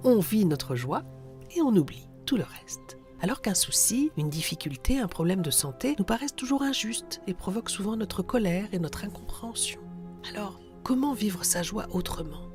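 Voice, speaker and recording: Music plays in the background as a woman speaks at a moderate pace and medium pitch with very wide pitch swings. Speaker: radio host. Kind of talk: reflective radio monologue.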